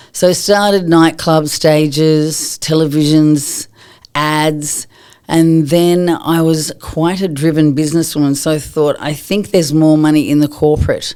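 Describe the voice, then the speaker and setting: A dark, mellow tone in an Australian accent, fairly slow and monotone, with flat intonation. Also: woman, very deep, low pitch for a woman. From Australia, Sydney (Coogee Beach). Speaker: yoga and wellness teacher, former dancer. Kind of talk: interview. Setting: studio.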